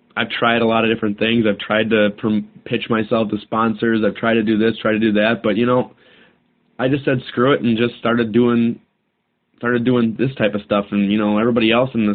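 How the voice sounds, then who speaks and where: A man speaks in a plain, everyday voice. His pitch sits in the medium range. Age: 20s. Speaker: podcast host. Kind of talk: casual solo talk. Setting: home recording, alone. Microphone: cheap microphone recorded on a cell phone.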